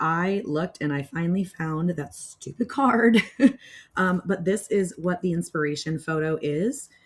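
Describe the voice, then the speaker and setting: A woman talks in a fairly low pitch and sounds somewhat breathy. Her pace is fairly slow. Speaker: knitter and crafter. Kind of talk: casual talk to camera. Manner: hesitant, many filler words.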